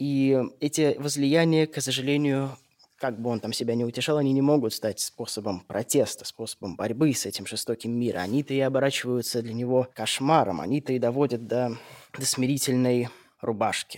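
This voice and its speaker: At a moderate pace, a man with a medium pitch talks with ordinary pitch variation in an unremarkable speaking voice. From St. Petersburg, Russia. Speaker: radio host. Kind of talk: scripted narration. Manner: formal.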